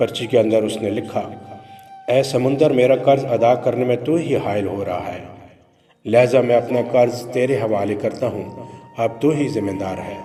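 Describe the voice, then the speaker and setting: Music plays in the background as a man speaks. His medium-pitched voice keeps fairly even intonation. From Pakistan. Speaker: voice-over artist. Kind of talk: religious story narration.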